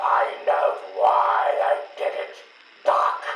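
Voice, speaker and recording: A man growls in a put-on character voice. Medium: video game. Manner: menacing, gloating.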